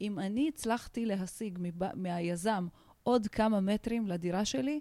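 A woman speaks at a fairly slow pace in a medium pitch, with ordinary pitch variation and a dark, mellow tone. The sound is dry and close, with no echo. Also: very clean recording, silent background. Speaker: organizational and social consultant. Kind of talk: interview.

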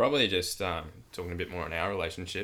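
A man talks at a fairly quick pace in a very deep, low pitch with a bright, sharp tone. His intonation stays fairly even, and the recording is very clean with a silent background. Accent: Australian. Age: 20s. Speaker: podcast host, high school coach. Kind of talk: casual chat. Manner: halting.

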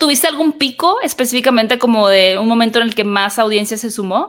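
A woman speaks in a normal speaking voice at a fairly high pitch. Her pace is fairly quick, with ordinary pitch variation. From northern Mexico, Hermosillo (Sonora). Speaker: podcast host, film commentator. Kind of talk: casual interview chat.

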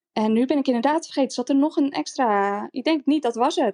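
A woman speaks with lively intonation in a dry, close recording with no echo. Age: 30s. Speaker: former reality TV contestant, interior stylist. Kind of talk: casual interview.

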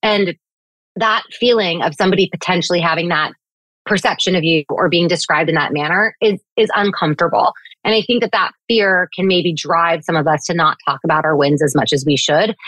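A woman with an unremarkable speaking voice talks fairly quickly at a fairly low pitch, with ordinary pitch variation, very even loudness and a dry, close sound with no echo. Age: 30s. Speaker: communications executive. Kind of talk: interview.

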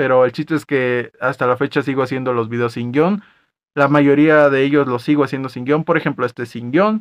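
A man speaks at a fairly quick pace in a normal speaking voice, his pitch fairly high with ordinary variation. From Mexico, Acapulco (Guerrero). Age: 20s. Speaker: podcast host. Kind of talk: casual monologue.

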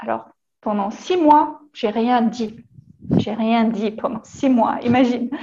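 A woman with a German accent, high-pitched and very slow. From Germany, partly France from age 14. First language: German (speaking French). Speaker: yoga teacher. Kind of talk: casual chat. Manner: halting, repeats words.

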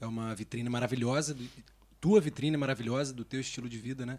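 The man speaks in a medium pitch. His pace is fairly quick. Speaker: podcast co-host, off-screen voice. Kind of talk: casual chat.

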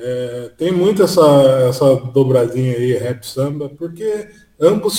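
A man talks at a very slow pace, his fairly high pitch showing ordinary variation. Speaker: podcaster. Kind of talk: casual chat.

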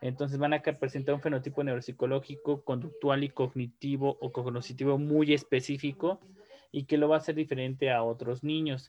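Intonation stays monotone and flat as a man talks at a fairly quick pace. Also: fairly high pitch for a man. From Mexico. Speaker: neuropsychologist and researcher. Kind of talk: interview. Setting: video call.

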